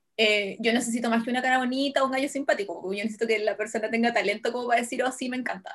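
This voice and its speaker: With a Chilean accent, a woman speaks at a high pitch and a very fast pace with hardly any pauses, over noticeable background noise. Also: ordinary pitch variation. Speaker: podcast co-host. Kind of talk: casual chat.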